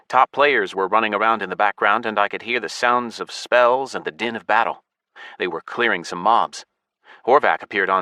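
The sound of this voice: Heard over a quiet background is an unforced reading voice.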